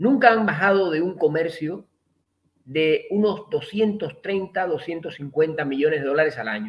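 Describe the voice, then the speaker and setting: A man talks with a high pitch and lively intonation. His pace is moderate. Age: 60s. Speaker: economist. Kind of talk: interview.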